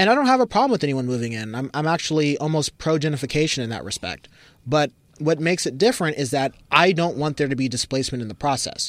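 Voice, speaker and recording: On a very clean recording with a silent background, a man with an American accent speaks very fast in a fairly high voice. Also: lively intonation. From US West Coast, Berkeley, California. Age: young. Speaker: housing advocate. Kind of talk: casual chat. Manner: animated.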